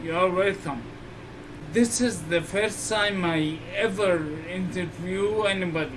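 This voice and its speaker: A man's high voice, very slow and fairly even in intonation, held at very even loudness, with audible room echo and noticeable background noise. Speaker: interviewer with multiple sclerosis. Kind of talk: interview. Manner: slurred speech.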